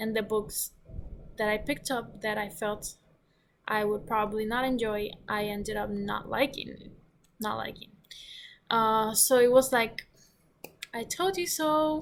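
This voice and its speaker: Pausing long and often, a woman with a non-native accent speaks at a fairly slow pace in a fairly high pitch. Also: ordinary pitch variation. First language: not English. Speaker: book reviewer. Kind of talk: casual vlog review. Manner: halting, many fillers and restarts.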